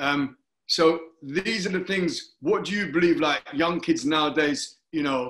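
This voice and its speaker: Against a quiet background, a man speaks with a London accent in a high, bright, sharp voice. His intonation is lively. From London, Hackney. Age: 50s. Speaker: talk show host, former Olympic athlete. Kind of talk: interview. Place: home room. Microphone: video call.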